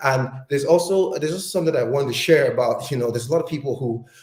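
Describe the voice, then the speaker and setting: A man talks at a very fast pace over noticeable background noise. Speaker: company representative hosting live workout. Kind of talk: live stream workout and Q&A. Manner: hesitant, many fillers.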